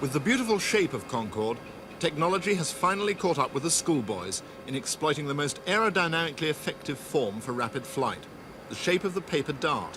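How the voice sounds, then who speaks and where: Noticeable background noise sits behind a man with a fairly high pitch who talks at a fairly quick pace with very wide pitch swings. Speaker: documentary reporter. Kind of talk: TV documentary narration.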